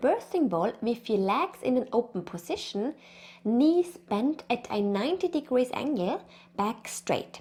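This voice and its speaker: In an Austrian accent, a woman speaks at a high pitch and a fairly slow pace. Her pitch swings very widely. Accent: Austrian, noticeable. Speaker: pregnancy and birth consultant. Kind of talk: educational tutorial.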